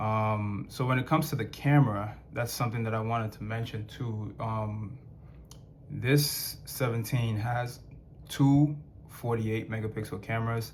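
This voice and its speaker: With audible room echo, a man at medium pitch speaks at a moderate pace in a somewhat breathy voice with fairly even intonation. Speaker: tech reviewer. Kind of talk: product review. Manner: halting, many fillers; casual, conversational.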